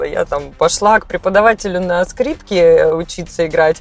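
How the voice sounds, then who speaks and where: A woman talks at moderate speed while noticeable noise sits in the background. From Cossack family, southern Russia. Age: young. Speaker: psychologist and singer. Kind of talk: casual chat. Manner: hesitant, filler sounds.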